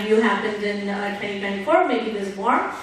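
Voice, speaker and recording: The clip carries noticeable background noise and audible room echo. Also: woman. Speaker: board director and startup advisor. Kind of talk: panel discussion. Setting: stage with audience. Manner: loud. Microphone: mic cutting in and out.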